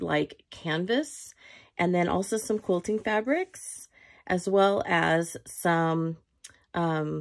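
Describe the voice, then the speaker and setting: A woman at medium pitch and a very slow pace, with ordinary pitch variation, in a very clean recording with a silent background. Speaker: crafter. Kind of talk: tutorial. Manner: casual, chatty.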